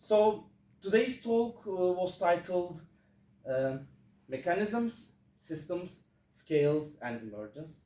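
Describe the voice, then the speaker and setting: With a Turkish accent and a dark, mellow tone, the speaker goes at a very slow pace with long, frequent pauses and very wide pitch swings, and room echo is audible. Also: man, high pitch for a man, big swings in loudness. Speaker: physics student giving a talk. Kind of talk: lecture. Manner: halting, many fillers.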